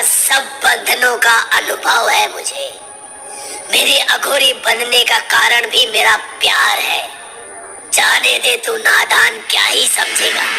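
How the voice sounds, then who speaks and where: A woman puts on a cartoonish character voice. She speaks at a fairly slow pace over clear background noise. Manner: authoritative, solemn, paternal.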